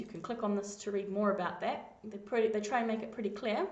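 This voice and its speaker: With a New Zealand accent, a woman speaks fairly high with ordinary pitch variation. Room echo can be heard. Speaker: coding tutor. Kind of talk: screencast tutorial.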